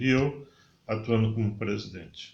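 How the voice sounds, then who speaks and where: A somewhat breathy man speaks at a fairly slow pace with audible room echo. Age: 60s. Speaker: podcast guest. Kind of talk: casual interview chat.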